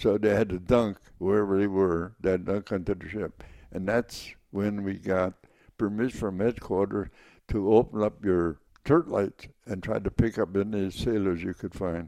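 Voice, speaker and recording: In an American accent, a man with a fairly low pitch and a dark, mellow tone speaks at a moderate pace with fairly even intonation. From Wisconsin. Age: 80s+. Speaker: war veteran. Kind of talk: interview.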